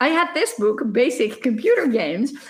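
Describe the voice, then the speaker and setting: A woman with a Dutch accent and a high pitch. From Netherlands. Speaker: professor. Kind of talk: lecture. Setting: recorded conference talk without live audience. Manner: fast.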